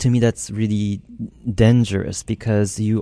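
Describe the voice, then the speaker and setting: A man with a Japanese accent speaks in a fairly low pitch with a dark, mellow tone. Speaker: composer. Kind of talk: interview. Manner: halting.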